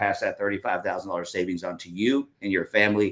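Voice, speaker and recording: A man's bright, sharp tone at a fairly low pitch and very fast pace, on a very clean recording with a silent background. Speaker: manufactured home salesperson. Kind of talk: sales pitch.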